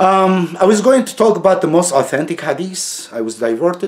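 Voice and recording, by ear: Speaking at a moderate pace, a man uses a high pitch with big pitch swings.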